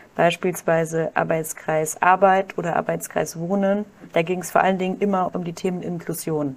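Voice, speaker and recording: A woman's monotone, flat intonation at a moderate pace. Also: fairly low pitch for a woman. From Germany, Kaiserslautern (Palatinate). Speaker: doctoral researcher and social enterprise founder. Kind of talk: podcast interview.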